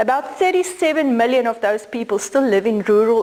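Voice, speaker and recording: A woman with a South African accent speaks in a fairly high voice with lively intonation. Noticeable background noise runs underneath. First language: Afrikaans. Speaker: law professor. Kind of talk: lecture.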